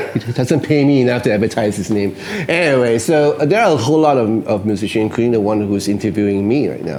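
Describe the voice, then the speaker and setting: A man rattles along at a very fast pace and medium pitch, with lively intonation over noticeable background noise. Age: 60s. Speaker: guitarist and songwriter. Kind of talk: interview. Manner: hesitant, many fillers.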